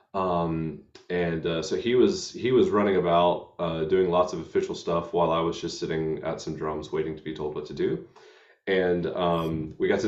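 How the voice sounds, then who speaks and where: A man talks at a fairly quick pace with an American accent. The background is quiet. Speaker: hymn show host. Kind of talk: casual chat. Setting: live stream. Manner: halting.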